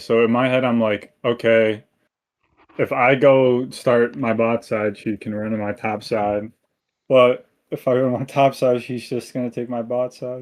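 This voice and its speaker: Over a quiet background, a man talks at a fairly slow pace with a medium pitch and fairly even intonation. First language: Japanese. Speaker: coaching student. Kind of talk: coaching session reviewing gameplay.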